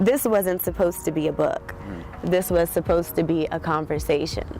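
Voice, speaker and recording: A woman's voice at a moderate pace over noticeable background noise. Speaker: poet and writer. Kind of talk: casual interview answer.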